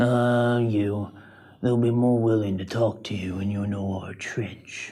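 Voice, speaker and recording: Putting on a character voice, a man of medium pitch speaks at a fairly slow pace. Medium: audio drama. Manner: teasing, blunt.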